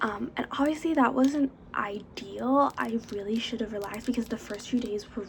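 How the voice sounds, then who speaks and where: Whispering and soft-spoken, a woman talks at a moderate pace over noticeable background noise. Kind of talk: ASMR makeup haul, casual talk to camera. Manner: soft-spoken, whispered.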